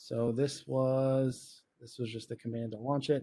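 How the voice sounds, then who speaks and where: A man's dark, mellow voice holds a monotone, flat intonation. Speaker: cybersecurity presenter. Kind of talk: live technical tutorial. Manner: casual, with many fillers.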